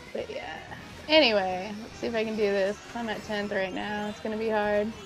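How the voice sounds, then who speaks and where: A woman's medium-pitched voice at a moderate pace, fairly even in intonation, with music in the background and audible room echo. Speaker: gaming streamer. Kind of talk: live gameplay commentary with chat. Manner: usually not loud.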